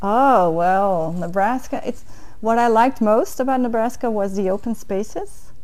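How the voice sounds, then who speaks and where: A fairly high-pitched woman at a moderate pace, ordinary pitch variation, and audible room echo. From Netherlands, near Enkhuizen. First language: Dutch. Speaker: diplomat. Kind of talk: interview. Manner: hesitant, with fillers.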